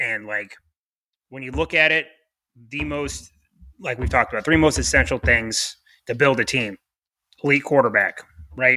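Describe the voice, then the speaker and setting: A man's medium-pitched voice with vocal fry, a bright, sharp tone and lively intonation at a moderate pace with long, frequent pauses, on a very clean recording with a silent background. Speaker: sports podcast co-host. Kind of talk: casual chat.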